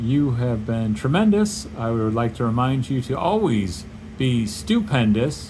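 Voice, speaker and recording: A man's relaxed tone at medium pitch and a fairly slow pace with very wide pitch swings, noticeable background noise and audible room echo. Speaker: artist vlogger. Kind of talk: casual drawing vlog narration. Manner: relaxed, hesitant with fillers.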